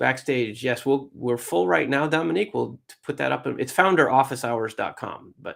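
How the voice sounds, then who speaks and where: Talking at a fairly quick pace, a man uses lively intonation and vocal fry in a medium pitch. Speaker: startup coach and angel investor. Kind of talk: live webinar Q&A hosting. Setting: live video call stream. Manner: fast.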